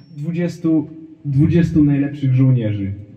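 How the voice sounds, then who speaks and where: A man is speaking in a space with audible room echo. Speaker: stand-up comedian. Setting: stage with audience. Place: stage.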